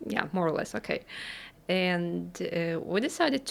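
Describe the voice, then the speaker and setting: A woman's fairly low-pitched voice with vocal fry and a Russian accent. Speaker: English teacher and podcast co-host. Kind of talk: casual chat. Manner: halting.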